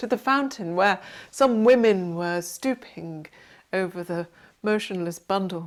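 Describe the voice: What you hear is plain reading aloud.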